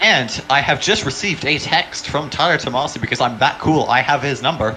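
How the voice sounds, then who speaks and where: Music plays in the background as a man with a fairly high pitch speaks fairly quickly. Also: ordinary pitch variation. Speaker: sim racing commentator. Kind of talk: live commentary. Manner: animated.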